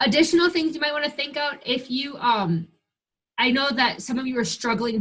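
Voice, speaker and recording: Here a woman talks with an American accent. Her pitch is high. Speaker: 4-H extension staff trainer. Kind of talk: webinar training. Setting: online screen-share webinar. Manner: fast.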